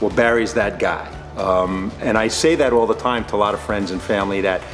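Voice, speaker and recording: Music in the background behind a man with a fairly low pitch, ordinary pitch variation and a moderate pace. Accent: New York. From New York State. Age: 60s. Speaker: retired state trooper. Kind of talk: client testimonial interview answer.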